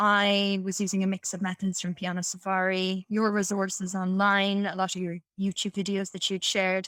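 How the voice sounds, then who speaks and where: Recorded very cleanly with a silent background and a dry, close sound with no echo, a woman speaks at a moderate pace and medium pitch. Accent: Irish. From Ireland. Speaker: piano teacher. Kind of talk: podcast interview answer.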